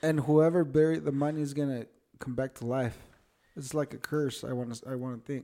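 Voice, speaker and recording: At a fairly quick pace, a man speaks in a fairly high voice with a dark, mellow tone. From Mexico, Michoacán. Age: 30s. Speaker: podcast guest. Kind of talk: casual storytelling.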